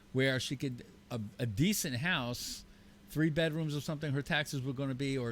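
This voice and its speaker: Using an ordinary speaking voice, a man with a fairly high pitch talks at a fairly quick pace with ordinary pitch variation. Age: 60s. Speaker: radio talk show co-host. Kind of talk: casual talk radio chat.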